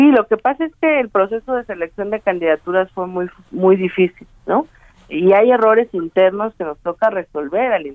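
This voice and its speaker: With a normal speaking voice, a woman talks at a moderate pace, her medium pitch carried by lively intonation. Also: big swings in loudness. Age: 30s. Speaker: party official, politician. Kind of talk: interview.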